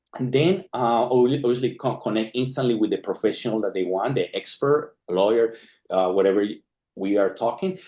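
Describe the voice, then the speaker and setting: A man's dark, mellow voice at a medium pitch, with ordinary pitch variation and a fairly quick pace. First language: not English. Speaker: tech founder, data scientist. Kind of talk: product launch presentation. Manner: halting, repeats words.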